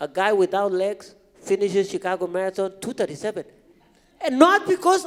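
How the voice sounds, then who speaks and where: An animated man speaks at a moderate pace with a non-native accent. His pitch swings very widely. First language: not English. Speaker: marathon runner, motivational speaker. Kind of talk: podcast interview on stage. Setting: stage with audience.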